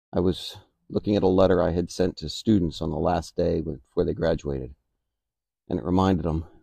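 A man's very deep, low voice with a dark, mellow tone and vocal fry, fairly quick, with ordinary pitch variation, dry with no echo over a quiet background. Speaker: motivational vlogger. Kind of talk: reflective motivational monologue. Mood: calm, reflective. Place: garden. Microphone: phone near.

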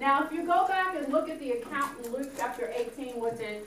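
Over light background noise, a woman is heard with audible room echo. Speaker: minister teaching Bible study. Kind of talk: Bible study teaching. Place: classroom.

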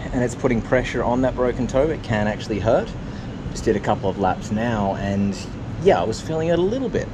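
A man at a medium pitch speaks with lively intonation against noticeable background noise. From Australia, New South Wales. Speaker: triathlon vlogger. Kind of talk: casual vlog to camera. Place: waterside. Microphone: phone near.

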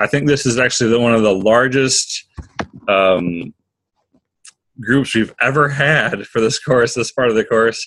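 With lively intonation, a man talks at a fairly slow pace. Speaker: course facilitator. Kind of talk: online class hosting. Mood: upbeat, friendly. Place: home room. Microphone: webcam.

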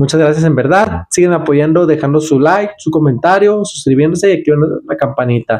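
A man with a fairly high pitch and a dark, mellow tone speaks at a fairly quick pace. His intonation is lively, and the background is quiet. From Mexico, Guadalajara, Jalisco. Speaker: mechanic and YouTuber; YouTuber. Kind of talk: casual thank-you vlog to camera. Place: home room.

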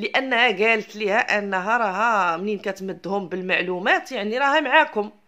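Speaking with a Moroccan accent, a woman uses a fairly high pitch, an animated, bright and sharp tone, a moderate pace, ordinary pitch variation and hardly any pauses. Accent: Moroccan Arabic (Darija). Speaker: YouTube commentator. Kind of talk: ranting commentary video.

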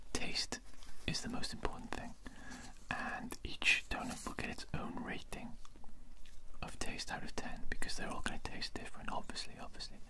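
A man whispers at a moderate pace, with long, frequent pauses. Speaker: ASMR creator. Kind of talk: soft-spoken ASMR vlog chat. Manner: soft close-mic ASMR speech. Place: home room. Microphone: studio mic.

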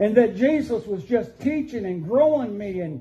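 A man speaks at a high pitch with ordinary pitch variation. Light background noise can be heard. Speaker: pastor. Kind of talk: sermon testimony. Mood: earnest, emotional. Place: church. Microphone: camera far.

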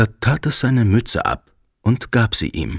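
A man of medium pitch speaks in a gentle, soothing tone touched with vocal fry. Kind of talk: fairy tale audiobook narration. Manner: gentle, soothing, slow storyteller pacing.

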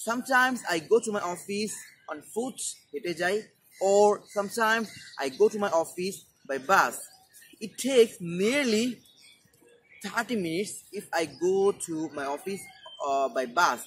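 A man with a Bengali accent and a high pitch, at a fairly slow pace with lively intonation, big swings in loudness and long, frequent pauses, over light background noise. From Bangladesh. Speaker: English teacher YouTuber. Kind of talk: tutorial. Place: garden. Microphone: lapel.

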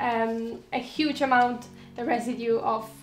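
Amid audible room echo and faint music in the background, a woman speaks fairly slowly at a high pitch with ordinary pitch variation. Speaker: lifestyle vlogger. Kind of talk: casual vlog chat giving tips. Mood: friendly, smiling. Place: home room.

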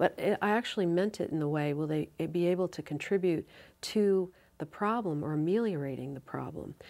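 At a moderate pace, a woman talks with a fairly low pitch, ordinary pitch variation and a dark, mellow tone. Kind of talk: interview answer. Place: studio.

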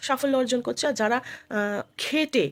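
A woman speaks with vocal fry. The sound is dry and close, with no echo. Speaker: YouTube vlogger. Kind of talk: casual vlog monologue. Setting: at home.

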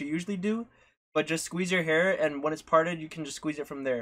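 Very fast and bright, sharp in tone, a man talks with ordinary pitch variation. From Canada. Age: 20s. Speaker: streamer and barber. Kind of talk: live-stream hair tutorial. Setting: live stream at home. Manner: casual, chatty. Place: home room. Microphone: phone near.

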